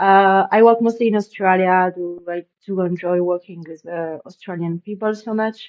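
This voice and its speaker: A woman's medium-pitched speech with hardly any pauses, fairly even intonation and big swings in loudness. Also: moderate pace. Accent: French. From France. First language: French. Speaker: e-commerce web designer and tutorial creator. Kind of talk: tutorial. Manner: casual, with frequent fillers and restarts.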